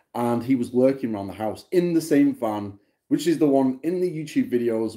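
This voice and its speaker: This man's dark, mellow voice makes very wide pitch swings at a moderate pace over a quiet background. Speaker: vlogger. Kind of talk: casual vlog chat. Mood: annoyed, telling a grievance. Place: home room. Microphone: phone near.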